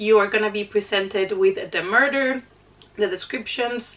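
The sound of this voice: A woman's medium-pitched voice with a fairly bright tone.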